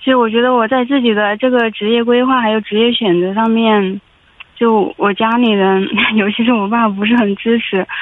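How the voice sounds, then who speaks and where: A woman's fairly high voice stays monotone and flat. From Hubei, China. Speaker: caller, in-house legal adviser. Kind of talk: phone-in advice call. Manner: hesitant, many fillers.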